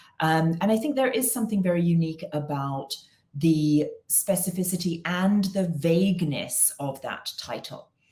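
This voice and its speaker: A woman with an English accent talks at a moderate pace, her fairly low voice dark, mellow and somewhat breathy. Her intonation is lively. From England. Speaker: consulting firm founder. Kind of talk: interview.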